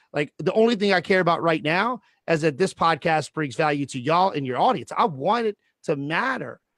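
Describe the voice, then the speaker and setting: A loud, high-pitched man at a fairly quick pace, with lively intonation and a dry, close sound with no echo. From Louisiana. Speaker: real estate educator. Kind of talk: casual chat. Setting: video call. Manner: projecting.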